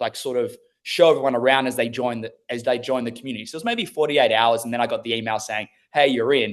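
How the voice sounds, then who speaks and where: A man with an Australian accent speaks at a very fast pace. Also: medium pitch for a man, fairly even intonation. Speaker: former plumber turned online business owner. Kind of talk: interview.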